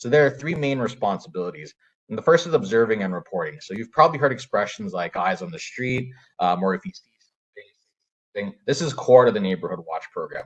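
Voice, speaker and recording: A man with a Canadian accent at a medium pitch, somewhat breathy, very fast, with very wide pitch swings and big swings in loudness. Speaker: crime prevention program manager. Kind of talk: presentation. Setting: video call.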